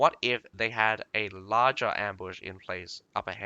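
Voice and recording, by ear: Natural read-aloud voice with fairly even intonation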